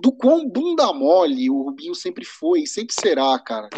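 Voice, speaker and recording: A man's extremely high voice at a fairly slow pace, with very wide pitch swings. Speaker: podcast co-host. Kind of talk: casual chat. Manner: halting, repeats words.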